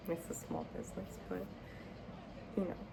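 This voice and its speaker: Noticeable background noise surrounds a soft-spoken woman. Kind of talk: casual talk to camera. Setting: home with background TV and heater hum. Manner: soft-spoken, chatty.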